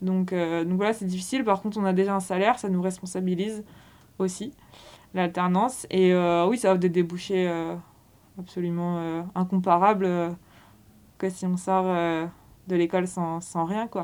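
A woman's medium-pitched, monotone voice with flat intonation, moving at a moderate pace broken by long, frequent pauses. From Brittany, France (Quimper). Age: 20s. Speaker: sports retail manager, former work-study student. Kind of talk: interview testimony. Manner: hesitant, frequent fillers and repetitions.

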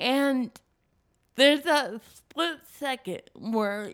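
Speaking at a very slow pace, a woman is heard. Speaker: speaker. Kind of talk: casual interview chat. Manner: funny, authentic storyteller.

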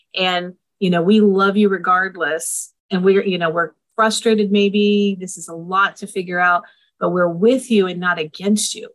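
Big swings in loudness, a normal speaking voice, fairly even intonation and a moderate pace. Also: woman, medium pitch for a woman. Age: 50s. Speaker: family therapist and co-parenting organization founder. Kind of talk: interview.

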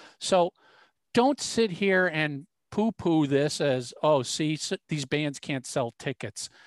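The background is quiet. The speech moves at a very slow pace. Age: 50s. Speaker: podcast co-host. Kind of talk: casual chat.

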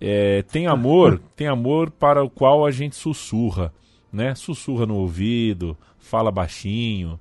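A man's medium-pitched voice at a very slow pace, with lively intonation. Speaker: football podcast host. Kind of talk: casual sports talk. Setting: studio.

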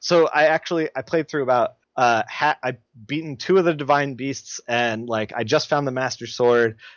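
At a moderate pace, a man talks in a medium pitch with ordinary pitch variation and a normal speaking voice. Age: 30s. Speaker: comic book colorist. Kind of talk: casual chat.

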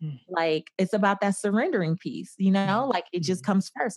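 A woman with a normal speaking voice and medium pitch talks at a fairly quick pace with ordinary pitch variation, in a very clean recording that has a silent background and a dry, close sound with no echo. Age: 30s. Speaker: personal finance expert. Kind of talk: interview.

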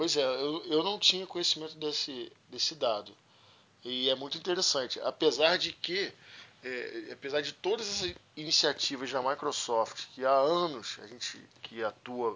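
A man speaks in a normal speaking voice, pitched fairly high. His pace is fairly slow, and his pitch varies in an ordinary way. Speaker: podcast host, IT professional. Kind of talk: casual interview chat.

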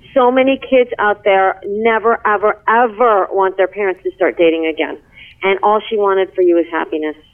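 Using a normal speaking voice, a woman talks with a medium pitch, ordinary pitch variation and a moderate pace. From New York. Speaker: co-host. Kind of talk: interview. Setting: remote call.

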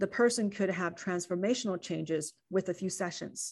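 A woman speaks with a Chinese accent. Her pitch sits in the medium range. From China. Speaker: physician. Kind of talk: interview.

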